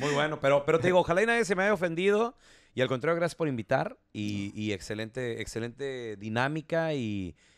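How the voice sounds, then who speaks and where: A man speaks at a fairly quick pace in a fairly high pitch. His pitch swings very widely. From Chihuahua, Mexico. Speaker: radio announcer. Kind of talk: casual chat.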